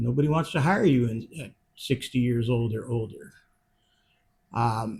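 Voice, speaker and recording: Speaking at a fairly slow pace with long, frequent pauses, a man uses a somewhat breathy voice of medium pitch and ordinary pitch variation. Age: 60s. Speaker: retired funeral director. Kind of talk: casual monologue. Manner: hesitant, many fillers.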